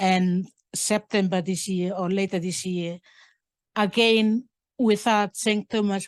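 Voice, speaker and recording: A woman speaks at a very slow pace in a monotone, flat intonation. The recording is dry and close with no echo, with a quiet background. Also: medium pitch for a woman. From Papua New Guinea, Buka island. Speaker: curator. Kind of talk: public talk, audience Q&A. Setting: museum talk with audience. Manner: halting.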